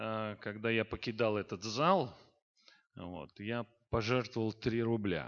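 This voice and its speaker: A man speaks at a very slow pace and a medium pitch. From Azerbaijan, Baku. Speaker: pastor and saxophonist. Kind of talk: testimony.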